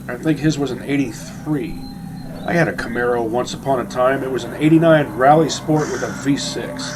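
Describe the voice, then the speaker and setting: Against noticeable background noise, a man with a fairly high voice speaks at a moderate pace with fairly even intonation. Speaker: video game let's play commentator. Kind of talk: casual gameplay commentary.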